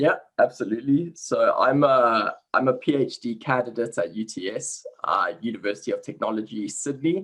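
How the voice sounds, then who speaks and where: A man with a South African accent at a moderate pace. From South Africa, Cape Town. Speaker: sports science researcher. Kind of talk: interview. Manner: halting, frequent repetitions and fillers.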